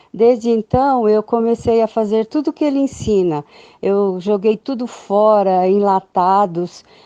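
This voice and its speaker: The speech moves at a fairly slow pace with ordinary pitch variation. The sound is dry and close, with no echo. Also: woman, fairly high pitch for a woman. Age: 60s. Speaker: testimonial giver. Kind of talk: testimony. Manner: halting.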